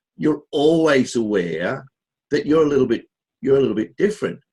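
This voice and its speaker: A man's very fast speech with very wide pitch swings and vocal fry. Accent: Australian. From Australia. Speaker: podcast host. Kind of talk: casual chat. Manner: halting.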